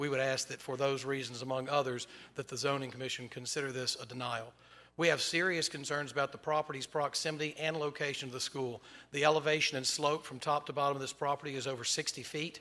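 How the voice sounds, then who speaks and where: A man talks very fast at a fairly high pitch. His tone is bright and sharp, his intonation monotone and flat. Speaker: attorney speaking for school board at public hearing. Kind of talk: public comment at zoning hearing.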